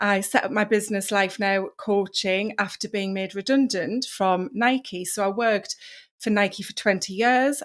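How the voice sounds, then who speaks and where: Heard in a very clean recording with a silent background, the speaker has a British accent, fairly even intonation, a moderate pace and hardly any pauses. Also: woman. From northeast England. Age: 40s. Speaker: wellness coach. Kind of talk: podcast interview.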